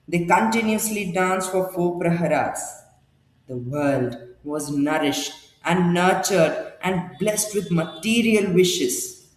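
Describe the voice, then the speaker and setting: A man's high-pitched voice at a fairly slow pace, ordinary pitch variation, audible room echo. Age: young. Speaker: storyteller. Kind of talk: storytelling narration. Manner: expressive.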